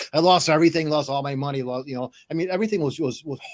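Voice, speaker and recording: Over noticeable background noise, a man talks very fast in a fairly high pitch with ordinary pitch variation. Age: 60s. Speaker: stroke survivor, inspirational show host. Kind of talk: interview. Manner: halting, many repetitions.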